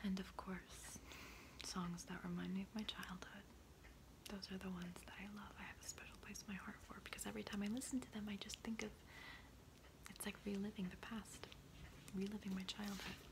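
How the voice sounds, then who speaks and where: A woman whispers over noticeable background noise. She leaves long pauses, and they come often. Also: fairly quick pace. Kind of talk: ASMR soft-spoken talk to camera. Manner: soft-spoken, whispering.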